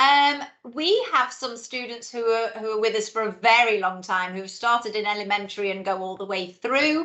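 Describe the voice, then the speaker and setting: Speaking in a British accent, a woman with a fairly high pitch keeps a moderate pace with hardly any pauses. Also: ordinary pitch variation. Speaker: head of school. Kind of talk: informational webinar Q&A. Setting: video call webinar.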